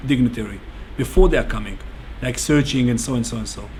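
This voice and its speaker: An Israeli accent with audible room echo and noticeable background noise. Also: man. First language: Hebrew. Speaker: bomb security instructor. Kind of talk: interview. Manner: halting.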